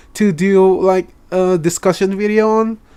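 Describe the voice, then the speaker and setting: A man with an Indonesian accent speaks at a high pitch. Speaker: anime reaction youtuber. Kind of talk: reaction commentary. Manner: halting, stuttering.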